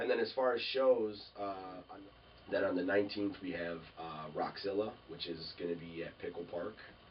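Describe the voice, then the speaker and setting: Over noticeable background noise, a man with an American accent talks at a moderate pace. His fairly low pitch shows ordinary pitch variation, with big swings in loudness. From Minnesota. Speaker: rock band member. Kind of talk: casual interview chat. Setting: sit-down interview.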